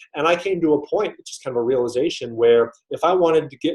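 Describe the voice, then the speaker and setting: Here a man with an American accent speaks at a fairly quick pace, using ordinary pitch variation. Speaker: GRE prep teacher. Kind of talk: live webinar lecture. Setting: online webinar with chat. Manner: fast.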